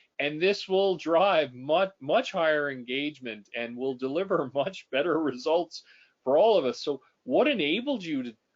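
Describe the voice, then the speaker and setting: With a Canadian accent, a man talks at a moderate pace in a fairly high pitch, sounding enthusiastic with lively intonation. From Canada. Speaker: executive coach and podcast host. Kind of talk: interview conversation. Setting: webinar video call. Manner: enthusiastic, repetitive false starts.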